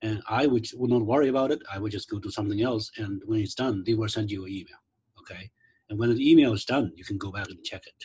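A man's somewhat breathy, fairly low voice at a very fast pace, with ordinary pitch variation and big swings in loudness. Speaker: instructional designer leading faculty workshop; presenter. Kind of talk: online training workshop. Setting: video call. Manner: halting, many fillers. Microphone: video call.

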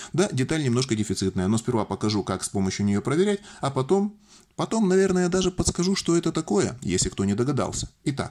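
Very fast and full of very wide pitch swings, a man's voice carries a dark, mellow tone. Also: fairly high pitch for a man. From Russian Far East, Vladivostok; Russia. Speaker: electronics DIY video maker; electronics hobbyist demonstrating. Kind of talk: tutorial. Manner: jokey, informal. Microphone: phone near.

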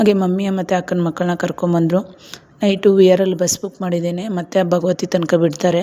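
A woman speaks in a fairly low, flat monotone over noticeable background noise. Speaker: vlogger. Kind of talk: casual vlog narration. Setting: outdoors, farm field.

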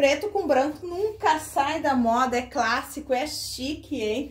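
Speaking at a fairly slow pace, a woman uses a high voice. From Rio Grande do Sul, Brazil. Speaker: online thrift shop owner and seller; seller. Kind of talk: live sales pitch, street-seller style product showcase. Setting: live video selling to online audience. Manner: animated, upbeat, enthusiastic. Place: shop. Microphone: phone near.

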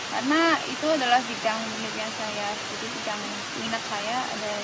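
Loud background noise surrounds a woman who talks at a moderate pace. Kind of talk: interview answer. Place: forest.

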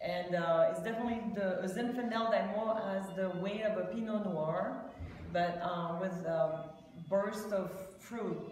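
A woman at a fairly slow pace with fairly even intonation, amid light background noise and audible room echo. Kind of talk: interview answer. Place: shop. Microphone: phone near.

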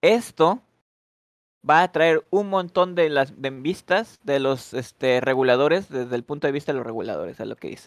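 An unremarkable speaking voice moves at a moderate pace with lively intonation, recorded with a dry, close sound and no echo. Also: man, fairly high pitch for a man. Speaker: English teacher. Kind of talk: online language class. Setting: voice chat on Discord. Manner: switches between English and Spanish.

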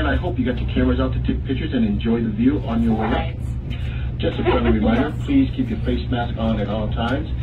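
The speech moves at a very fast pace. Noticeable background noise runs underneath. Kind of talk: tour guide announcement. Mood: friendly, upbeat.

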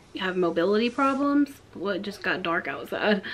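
A woman talks while light noise sits in the background. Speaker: home vlogger. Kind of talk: casual vlog chat. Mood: amused, chatty. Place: home room. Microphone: phone near.

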